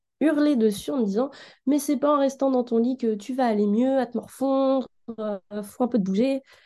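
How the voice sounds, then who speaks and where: A woman's dark, mellow tone at a moderate pace, with ordinary pitch variation and a quiet background. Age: 20s. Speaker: design student sharing her experience. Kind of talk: personal testimony.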